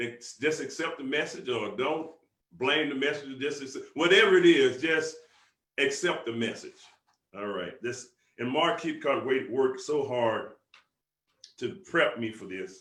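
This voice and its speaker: In a Southern US accent, a man talks in a fairly high, animated voice with lively intonation and long, frequent pauses, with audible room echo. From US South. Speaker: business motivational speaker. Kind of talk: motivational conference call talk. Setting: conference call. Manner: fast.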